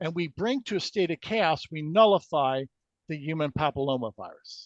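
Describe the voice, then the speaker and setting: With a high pitch and lively intonation, a man talks at a fairly quick pace, recorded dry and close with no echo against a quiet background. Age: 60s. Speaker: energy healing researcher. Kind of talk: interview. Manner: halting.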